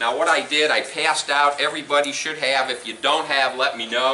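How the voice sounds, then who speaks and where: A man speaks at a moderate pace in a fairly high, monotone voice with flat intonation. Audible room echo and noticeable background noise surround him. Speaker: company representative presenting on retirement accounts. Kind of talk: seminar presentation. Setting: meeting room with live audience, no microphone. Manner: loud.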